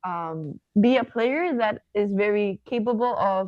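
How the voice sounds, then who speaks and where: A woman with a Spanish accent talks at a very slow pace, her pitch fairly high. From southern Spain. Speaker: professional volleyball player. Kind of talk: podcast interview.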